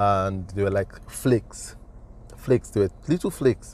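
With a dark, mellow tone, a man speaks at a moderate pace in a fairly low voice with fairly even intonation. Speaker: design educator. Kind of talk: motivational talk. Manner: halting.

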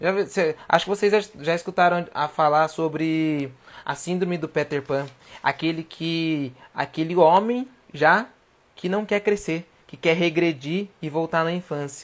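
A man with a high pitch and ordinary pitch variation speaks at a fairly slow pace in a very clean recording with a silent background. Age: 20s. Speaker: livestream host. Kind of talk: casual livestream talk. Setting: at home. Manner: animated.

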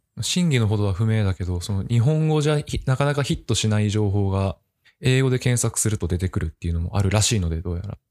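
In a very clean recording with a silent background, a man with a fairly low pitch talks at a very fast pace with lively intonation. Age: 20s. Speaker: office worker. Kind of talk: casual chat.

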